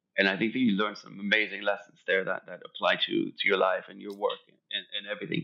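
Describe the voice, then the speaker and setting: Very fast speech with big swings in loudness. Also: man. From Germany (Hamburg, Frankfurt) until 10, then Los Angeles. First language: German. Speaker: fashion designer. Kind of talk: podcast interview. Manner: repetitive, stammering restarts.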